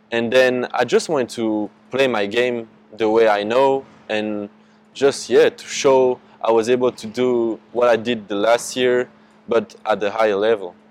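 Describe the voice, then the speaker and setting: A man with a French accent speaks at a fairly slow pace in a medium pitch, his intonation monotone and flat, with noticeable background noise behind him. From France. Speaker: basketball prospect. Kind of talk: casual interview. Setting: in person.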